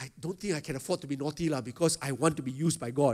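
This man's pitch is fairly high. He has an unremarkable speaking voice with ordinary pitch variation. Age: 50s. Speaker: pastor. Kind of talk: sermon. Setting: stage with audience.

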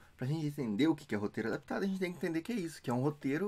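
This man's voice swings very widely in pitch. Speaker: video host. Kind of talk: casual explainer vlog. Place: home room.

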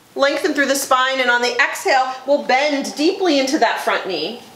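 Audible room echo surrounds a woman's high-pitched voice. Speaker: yoga teacher. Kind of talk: guided yoga instruction. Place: gym.

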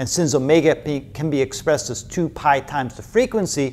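With a slightly mellow tone, a man talks at a moderate pace and with lively intonation.

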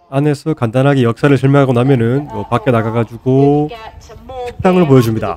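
Very fast and with fairly even intonation, a man speaks at a medium pitch. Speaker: beer vlogger. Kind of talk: vlog narration.

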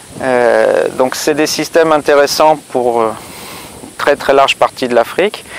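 A man's moderate-paced speech with ordinary pitch variation, in a dry sound with no echo. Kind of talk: interview answer. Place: farm machine.

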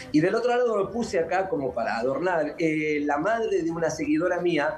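Over light background noise, a man with a Uruguayan accent talks at a fairly quick pace with lively intonation and a fairly high pitch. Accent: Rioplatense Spanish (Uruguayan). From Uruguay, Montevideo. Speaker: dance teacher and caricaturist. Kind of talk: TV interview. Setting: video call. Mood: warm, smiling, chatty. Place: home room. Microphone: video call.

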